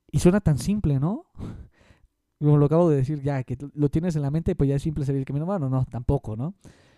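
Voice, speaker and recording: A man with a fairly high pitch and a dark, mellow tone talks at a very fast pace with ordinary pitch variation, in a dry, close sound with no echo. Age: 20s. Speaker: podcaster and private math tutor. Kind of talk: solo podcast monologue.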